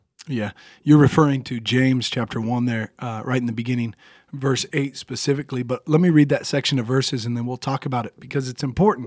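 A man's medium-pitched voice at a very fast pace, with fairly even intonation, on a very clean recording with a silent background. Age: 30s. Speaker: podcast co-host, ministry. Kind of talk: casual chat, faith discussion.

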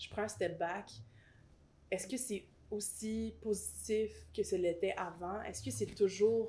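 A woman speaks at a medium pitch and a fairly slow pace. Her voice is somewhat breathy. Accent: Quebec. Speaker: rapper and singer. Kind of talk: casual interview chat.

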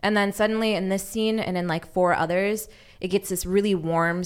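In a very clean recording with a silent background, a woman with an American accent uses a normal speaking voice at medium pitch with fairly even intonation. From Los Angeles. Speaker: podcast intern and guest. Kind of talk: casual chat. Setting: studio.

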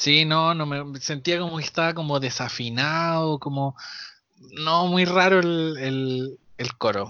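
A fairly high-pitched man with a Chilean accent, very slow pace and ordinary pitch variation. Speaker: podcast co-host. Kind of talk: casual chat. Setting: remote recording from home.

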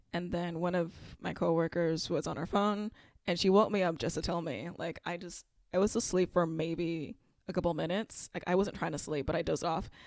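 A woman's plain, everyday voice, fairly low-pitched, at a fairly quick pace with fairly even intonation, in a very clean recording with a silent background. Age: 20s. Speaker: podcast co-host. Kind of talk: casual chat.

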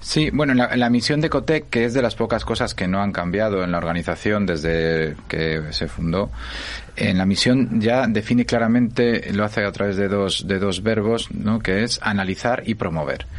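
Noticeable background noise sits behind a man with a fairly low pitch. He keeps a moderate pace, lively intonation and very even loudness. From Spain, Asturias. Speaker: innovation foundation director. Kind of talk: interview.

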